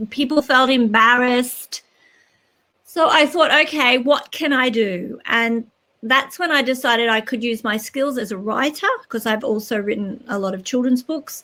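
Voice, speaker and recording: A woman speaks with an Australian accent. Her voice is high, with a bright, sharp tone. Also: ordinary pitch variation, moderate pace. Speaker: children's author and educator. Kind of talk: interview.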